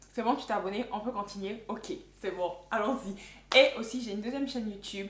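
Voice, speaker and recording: With an animated tone, a woman talks at a fairly quick pace in a fairly high, somewhat breathy voice with ordinary pitch variation. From Ivory Coast. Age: 20s. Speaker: YouTuber. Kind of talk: casual vlog monologue.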